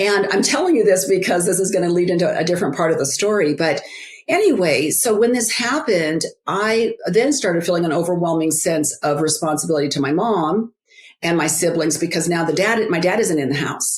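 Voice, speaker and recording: A woman with a fairly low pitch speaks at a fairly quick pace in a normal speaking voice. Her intonation is lively and her loudness very even. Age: 60s. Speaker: author and biblical life coach. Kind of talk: interview, personal testimony. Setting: podcast interview.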